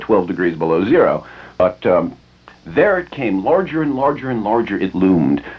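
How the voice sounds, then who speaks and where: Music plays behind a man with an American accent and a medium-pitched voice. He talks at a fairly quick pace with very wide pitch swings. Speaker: radio DJ host. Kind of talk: casual radio monologue / rant, telling a story. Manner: rambling, wry, conversational with hesitations.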